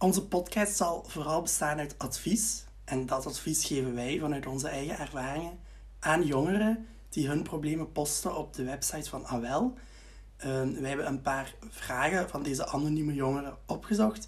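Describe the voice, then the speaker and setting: A man with a Flemish accent talks at a moderate pace, with audible room echo. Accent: Flemish Dutch. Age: 20s. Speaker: student teacher, podcast co-host. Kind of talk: casual advice chat.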